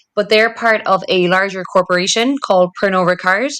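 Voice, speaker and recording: In a Cork accent, a woman speaks at a moderate pace and medium pitch with a bright, sharp tone and ordinary pitch variation, on a very clean recording with a silent background. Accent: Cork Irish. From Ireland, Cork City. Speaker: marketing director. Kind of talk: interview. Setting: podcast recording.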